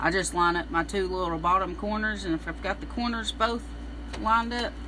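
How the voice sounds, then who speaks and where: A fairly quick pace in a Southern US accent, with noticeable background noise. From US South, Middle Tennessee. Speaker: embroidery instructor. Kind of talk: live-stream tutorial. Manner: casual, chatty.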